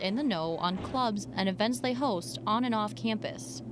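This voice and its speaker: A woman has a normal speaking voice with a fairly high pitch. She keeps a moderate pace and lively intonation. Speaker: student reporter. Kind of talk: TV news reporter.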